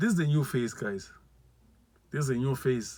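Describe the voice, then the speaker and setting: With a non-native accent, a man speaks using lively intonation. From South Africa, Limpopo. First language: not English. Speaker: vlogger. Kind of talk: testimony. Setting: live video. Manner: repetitive, halting.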